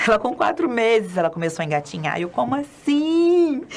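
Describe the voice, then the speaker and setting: A woman's animated voice with lively intonation. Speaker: children's spiritist educator. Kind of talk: lecture. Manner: fast.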